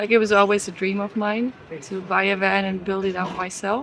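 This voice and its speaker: A woman speaks over noticeable background noise. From Switzerland. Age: 20s. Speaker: van dweller interviewee. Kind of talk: casual interview and van tour.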